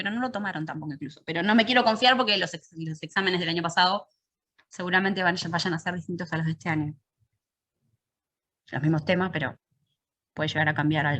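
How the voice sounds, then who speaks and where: The tone is bright and sharp. Its intonation is lively. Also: woman. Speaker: university math teacher. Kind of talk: lecture. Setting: online virtual class. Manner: fast.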